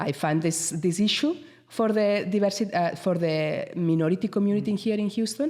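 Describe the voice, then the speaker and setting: A woman's dark, mellow voice at a moderate pace, with ordinary pitch variation and very even loudness. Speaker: entrepreneur, business founder. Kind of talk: radio interview. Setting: radio studio.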